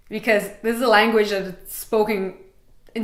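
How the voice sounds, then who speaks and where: Amid noticeable background noise and audible room echo, a woman speaks at a fairly quick pace and medium pitch with ordinary pitch variation. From Montreal, Quebec, Canada. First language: Russian. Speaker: travel vlogger. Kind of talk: casual vlog talk.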